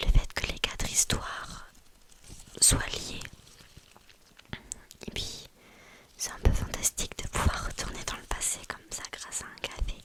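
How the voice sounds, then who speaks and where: Whispering at a fairly slow pace, the speaker leaves long, frequent pauses, with big swings in loudness over noticeable background noise. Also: woman. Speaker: ASMR creator, student. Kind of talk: casual book review, talking about a novel. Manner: whispering, soft, chatty.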